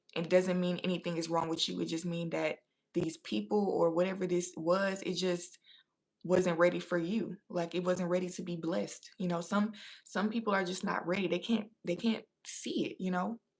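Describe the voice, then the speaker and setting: With fairly even intonation and a fairly low pitch, a woman uses a normal speaking voice at a moderate pace. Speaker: tarot reader. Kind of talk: live tarot reading. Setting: livestream.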